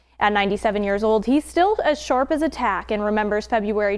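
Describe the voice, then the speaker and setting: This woman has an unremarkable speaking voice, fairly high in pitch, with ordinary pitch variation and a fairly quick pace. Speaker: TV news reporter. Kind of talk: TV news report narration.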